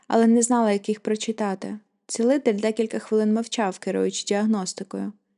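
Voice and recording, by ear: The passage is read aloud in a natural voice over a quiet background. Its intonation stays fairly even.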